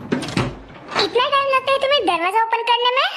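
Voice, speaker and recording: Shouting in a squeaky, put-on character voice, a woman hits an extremely high pitch. Her pace is moderate. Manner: angry, shouting.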